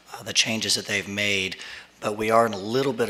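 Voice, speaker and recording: A man speaks with a fairly low pitch and monotone, flat intonation. Background noise is noticeable. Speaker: lawyer. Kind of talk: public meeting testimony. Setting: speaking at podium in public meeting. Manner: halting, many fillers.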